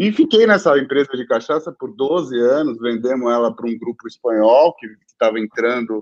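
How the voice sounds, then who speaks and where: A man speaks in an unremarkable speaking voice at a medium pitch and moderate pace. His pitch varies in an ordinary way, and the sound is dry and close with no echo. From São Paulo, Brazil. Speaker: entrepreneur. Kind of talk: interview.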